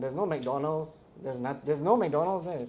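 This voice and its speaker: A man with a Singaporean accent speaks in a dark, mellow tone with ordinary pitch variation. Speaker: wildlife photographer and documentarian. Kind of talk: casual talk to a live audience. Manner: animated.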